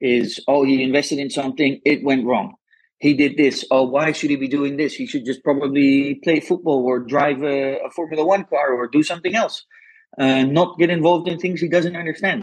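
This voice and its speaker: A man talks at a fairly quick pace in a Dutch accent. His pitch is fairly high, with ordinary pitch variation. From Netherlands. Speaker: venture capital investor, former footballer. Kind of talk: interview conversation. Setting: remote call. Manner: enthusiastic.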